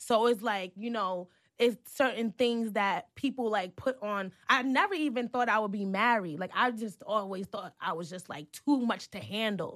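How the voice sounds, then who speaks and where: A woman's fairly high-pitched voice at a moderate pace, with ordinary pitch variation and hardly any pauses. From New York City, Manhattan. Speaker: podcast co-host and blogger. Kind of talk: casual chat.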